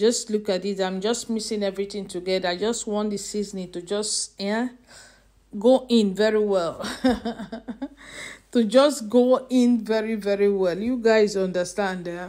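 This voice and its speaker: Over a quiet background, a woman talks at a moderate pace with fairly even intonation. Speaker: home cook vlogger. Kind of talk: casual cooking vlog chat. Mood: cheerful, laughing. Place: kitchen. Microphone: phone near.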